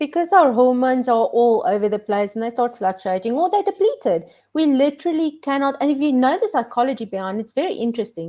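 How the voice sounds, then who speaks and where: A woman's high, dark and mellow voice in a South African accent, very fast, with very wide pitch swings. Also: hardly any pauses. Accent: Afrikaans South African. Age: 40s. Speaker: minimalist lifestyle content creator. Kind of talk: casual chat. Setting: live stream video call.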